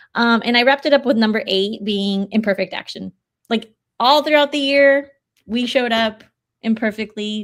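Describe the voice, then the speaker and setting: A woman talks at a moderate pace in an animated tone, with a Spanish accent. Her pitch is fairly high, with ordinary variation. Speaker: podcast co-host and coach. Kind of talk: casual chat.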